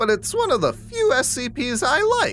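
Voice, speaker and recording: Clear music plays in the background. The speaker uses a put-on character voice. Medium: machinima. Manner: calm, dry, matter-of-fact.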